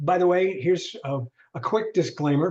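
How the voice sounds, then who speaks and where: A man speaks with ordinary pitch variation. His voice is somewhat breathy. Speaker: LinkedIn trainer. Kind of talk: online workshop. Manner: fast.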